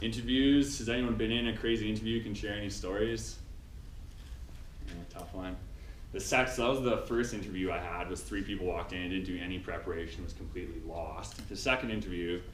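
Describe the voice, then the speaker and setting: Speaking at a fairly quick pace in a Canadian accent, a man with a fairly low pitch and ordinary pitch variation is heard with audible room echo. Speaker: instrumentation engineering graduate speaking to students. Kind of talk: talk to students.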